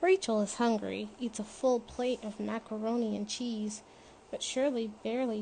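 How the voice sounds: Fairly even intonation in a natural reading voice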